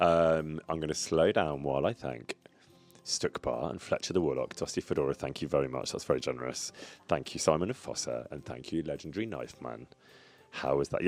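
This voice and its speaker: Music plays in the background as a man with a very deep, low pitch talks at a fairly quick pace with ordinary pitch variation. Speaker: streamer. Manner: fast talker; excitable.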